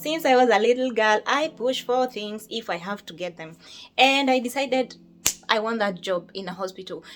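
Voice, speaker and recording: Music plays in the background as a woman with a Kenyan accent talks at a moderate pace, her fairly high voice lively in intonation and swinging widely in loudness. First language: Kikuyu. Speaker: nurse. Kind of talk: casual chat.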